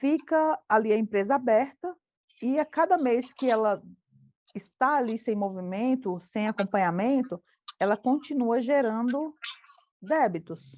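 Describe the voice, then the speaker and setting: A woman speaks at a high pitch with lively intonation and a fairly slow pace. Her long, frequent pauses come through in a dry, close sound with no echo. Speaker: accounting teacher. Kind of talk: online class.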